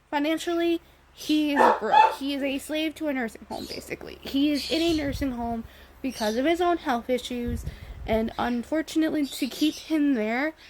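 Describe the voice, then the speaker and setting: A woman's high voice with lively intonation at a moderate pace, against noticeable background noise. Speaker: vlogger. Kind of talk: personal video diary. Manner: halting.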